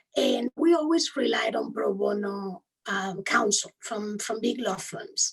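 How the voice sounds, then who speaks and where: A woman's fairly high voice with a strong Spanish accent, lively intonation and a fairly slow pace. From Spain. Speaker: human rights lawyer. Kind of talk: interview.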